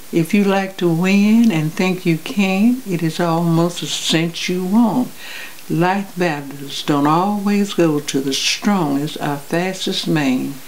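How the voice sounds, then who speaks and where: Speaking at a very slow pace with an American accent, a woman uses a fairly low pitch and ordinary pitch variation over noticeable background noise. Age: 80s+. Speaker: public speaker. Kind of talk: poetry reading. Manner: expressive.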